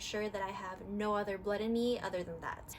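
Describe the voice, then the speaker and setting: With an American accent and a fairly high pitch, a woman speaks in fairly even intonation against noticeable background noise. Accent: very American. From California, US. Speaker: fitness vlogger. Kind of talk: casual vlog talk.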